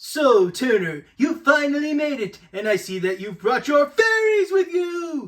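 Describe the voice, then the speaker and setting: A put-on character voice in a theatrical tone, with very wide pitch swings, a fairly slow pace and hardly any pauses. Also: man, extremely high pitch for a man. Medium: fan dub. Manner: gloating, theatrical.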